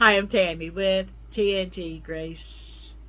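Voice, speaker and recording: Audible room echo surrounds a woman's voice. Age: 60s. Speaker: health tips vlogger. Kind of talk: casual talk to camera.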